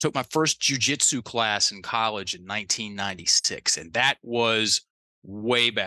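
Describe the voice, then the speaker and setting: In a slight Southern US accent, a man talks at a fairly slow pace with a bright, sharp tone, medium pitch and ordinary pitch variation, the sound dry and close with no echo over a quiet background. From US South. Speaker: life coach. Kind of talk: interview. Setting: remote call.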